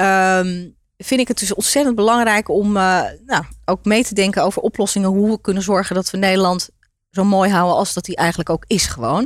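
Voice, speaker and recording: A woman with an unremarkable speaking voice talks fairly quickly at a medium pitch, with ordinary pitch variation. The recording is very clean and the background silent. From Netherlands, Turkish migrant family. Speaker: entrepreneur. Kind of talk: interview.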